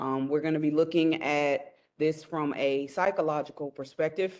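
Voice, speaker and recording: Her very deep, low pitch stays monotone and flat as she speaks at a moderate pace. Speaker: psychology professor. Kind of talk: lecture. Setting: classroom with audience, no mic. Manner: loud. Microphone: no microphone, room sound.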